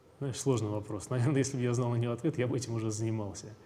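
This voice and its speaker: With audible room echo around him, a man talks at medium pitch with ordinary pitch variation. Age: 20s. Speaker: company founder. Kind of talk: interview.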